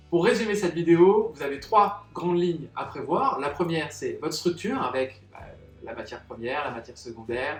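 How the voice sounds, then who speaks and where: Over background music, a man speaks at a moderate pace in a high voice with very wide pitch swings and big swings in loudness. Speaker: salon business consultant. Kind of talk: tutorial.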